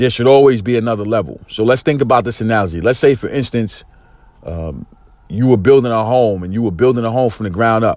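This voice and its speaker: Pitch varies in an ordinary way as the words come out at a very fast pace. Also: man, medium pitch for a man. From East New York, Brooklyn, US. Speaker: motivational podcaster and life coach. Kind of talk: motivational monologue. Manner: intense, excited delivery; frequent fillers and repetitions.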